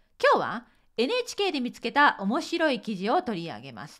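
Over a quiet background, a woman's voice moves through very wide pitch swings. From Japan. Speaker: Japanese teacher. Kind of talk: podcast monologue partly reading from a script. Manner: reading aloud from a script. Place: home room.

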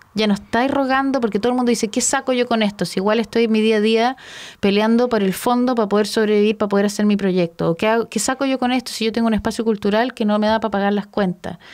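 A woman talks very fast in a Chilean accent, at a fairly high pitch with fairly even intonation, very even loudness and hardly any pauses. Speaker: radio host and architecture academic. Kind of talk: casual interview chat.

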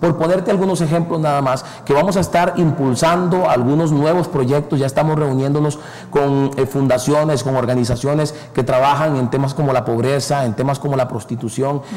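A man with a fairly high voice talks at a fairly quick clip, his loudness very even, his intonation fairly even, and hardly any pauses. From Costa Rica. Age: 30s. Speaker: politician; interviewee. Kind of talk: interview. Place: studio. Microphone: lapel.

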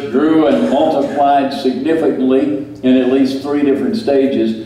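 A man talks fairly slowly, and the room echo is audible. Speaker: preacher. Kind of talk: sermon. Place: church.

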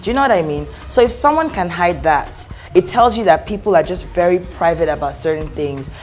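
A woman speaks at a fairly quick pace with faint music in the background. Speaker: talk show guest. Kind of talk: interview answer. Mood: warm, jokey. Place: studio.

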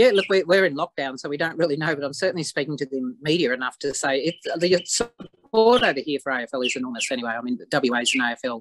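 Moderate pace in an Australian accent, ordinary pitch variation, dry sound with no echo, and noticeable background noise. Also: woman. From Australia, outside Victoria. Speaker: football club president. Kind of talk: interview. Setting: video call. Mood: proud, upbeat. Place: home room. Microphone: video call.

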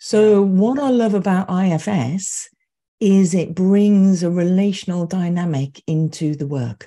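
Somewhat breathy and dark, mellow in tone, a woman's voice comes through over a quiet background. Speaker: EMDR therapist and trainer. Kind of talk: interview conversation. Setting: video call. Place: home room.

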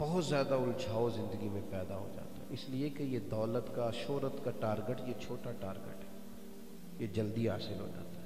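At a fairly slow pace, a man speaks over noticeable background noise. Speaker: religious preacher. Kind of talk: sermon. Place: hall. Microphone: handheld.

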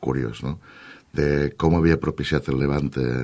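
A man talks at a fairly slow pace in a very deep, low voice with vocal fry. The background is quiet. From Valencia region, Canals (La Costera); Valencia region, Spain. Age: 40s. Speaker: politician. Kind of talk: radio interview. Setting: radio studio. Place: studio.

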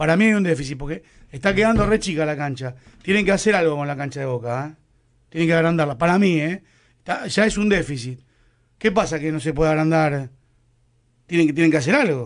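A man in a Rioplatense accent, fairly quick pace broken by long, frequent pauses, ordinary pitch variation, quiet background. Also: fairly high pitch for a man. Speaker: football pundit. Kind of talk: radio football panel chat.

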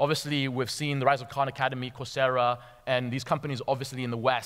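Against a quiet background, a man speaks very fast. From Tanzania, schooled in Nairobi. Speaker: venture capital investor. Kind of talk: conference talk. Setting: stage with audience. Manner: halting with fillers and repetitions. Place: stage. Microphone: headset.

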